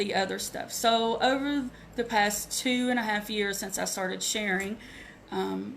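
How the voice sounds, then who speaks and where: Very slow, medium-pitched female voice with fairly even intonation and audible room echo. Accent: Southern US. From US South, Asheville North Carolina. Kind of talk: live video training, personal testimony. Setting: live Facebook video. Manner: halting.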